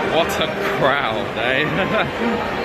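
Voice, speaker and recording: Crowd noise in the background, plus audible room echo. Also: man. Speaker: travel vlogger. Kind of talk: travel vlog commentary. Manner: loud; hesitant with fillers.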